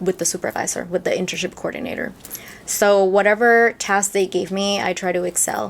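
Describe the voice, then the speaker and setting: Speaking with a Peruvian accent, a woman keeps a medium pitch, a moderate pace and a monotone, flat intonation. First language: Spanish. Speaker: lobbyist. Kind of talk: interview.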